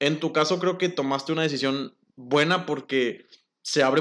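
This is a man with an ordinary speaking voice. He talks at a fairly quick pace with fairly even intonation. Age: 20s. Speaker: industrial engineer. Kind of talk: casual chat.

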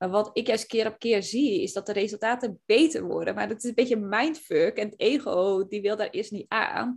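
Vocal fry from a woman at a fairly high pitch. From Zeeland, Netherlands. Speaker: podcast host and business coach. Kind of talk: casual chat.

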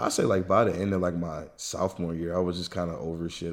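Speaking at a very fast pace, a man with an American accent has a very deep, low pitch. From US South. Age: 20s. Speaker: friend of the host, former athlete. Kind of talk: casual chat. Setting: remote recording at home. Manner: animated.

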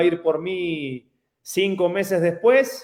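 This man speaks with a high-pitched voice. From Argentina, Casilda near Rosario. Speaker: retired football striker. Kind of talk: interview.

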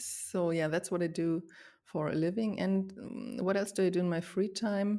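In a very clean recording with a silent background, a woman with a German accent speaks at a moderate pace and medium pitch, her dark, mellow tone held at a very even loudness. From Germany. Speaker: podcast co-host and music journalist. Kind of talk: casual chat. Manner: laughs often.

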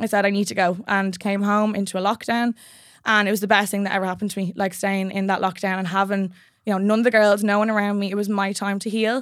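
Speaking very fast with a Dublin accent, a woman uses a medium pitch and a monotone, flat intonation on a very clean recording with a silent background. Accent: Irish (Dublin). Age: 20s. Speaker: personal trainer. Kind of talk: casual interview chat. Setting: studio.

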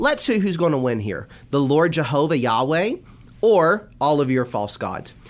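With lively intonation and a plain, everyday voice, a man talks at a moderate pace. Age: 20s. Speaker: minister. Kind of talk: religious discussion.

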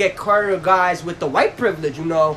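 With a New York accent, a man uses a raised, projected voice and an animated tone amid noticeable background noise. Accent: New York City. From Brownsville, Brooklyn, New York. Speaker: podcast co-host. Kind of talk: casual chat. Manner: animated, crude humor.

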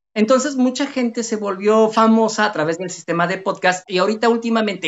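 A high-pitched man at a fairly quick pace, with ordinary pitch variation. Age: 40s. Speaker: software developer and podcaster. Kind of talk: casual interview chat. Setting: home, live stream call.

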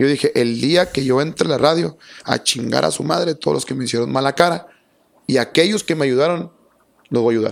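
An ordinary speaking voice from a man, fairly high-pitched and fairly quick, with ordinary pitch variation. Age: 30s. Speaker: radio announcer. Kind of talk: casual chat.

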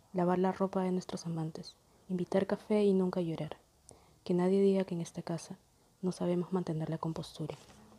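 With a dark, mellow tone, a woman talks at a fairly quick pace in a medium pitch and a monotone, flat intonation. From Peru, Lima. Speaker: poet. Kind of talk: poetry reading.

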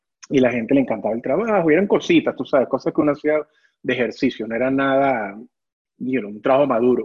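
A man with a Venezuelan accent, medium pitch, lively intonation and a very fast pace. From Venezuela (Caracas). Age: 40s. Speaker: ceramic artist. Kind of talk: interview. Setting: video call from his workshop.

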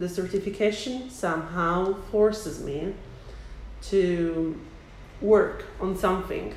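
Very slow, fairly even speech from a woman, with long, frequent pauses and noticeable background noise. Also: medium pitch for a woman. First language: Italian. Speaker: English teacher. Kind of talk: interview conversation.

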